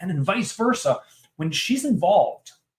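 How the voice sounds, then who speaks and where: Loud and animated, a man's voice moves through very wide pitch swings. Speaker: podcast host. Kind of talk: casual interview conversation.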